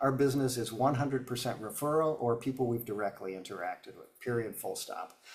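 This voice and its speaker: With hardly any pauses and a fairly quick pace, a man of medium pitch speaks with ordinary pitch variation and big swings in loudness over noticeable background noise. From upstate New York. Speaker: business coach. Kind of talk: webinar Q&A. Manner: fast; halting, many fillers.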